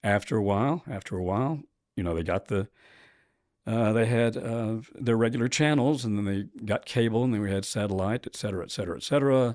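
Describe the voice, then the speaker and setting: The delivery is very fast, in an American accent with ordinary pitch variation. The recording is very clean, with a silent background. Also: man, medium pitch for a man. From US South, Nashville, Tennessee. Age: 60s. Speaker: professor. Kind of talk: interview.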